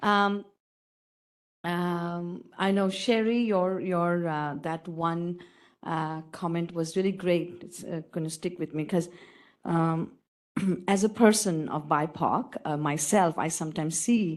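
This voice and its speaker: Speaking with a non-native accent, a woman uses fairly low pitch and fairly even intonation. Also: quiet background. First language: not English. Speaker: audience member asking question, diversity officer. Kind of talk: audience question at panel.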